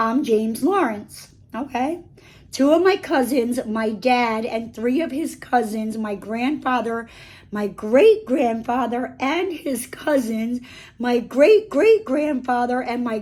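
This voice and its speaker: This is a put-on character voice with a raspy sound. The delivery comes at a fairly slow pace. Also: woman, high pitch for a woman. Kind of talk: casual storytime reading. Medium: read story. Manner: chatty, filler-heavy, animated.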